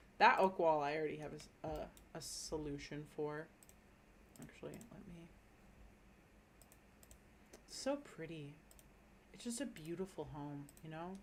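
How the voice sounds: A woman at a low pitch and fairly slow pace, with ordinary pitch variation and long, frequent pauses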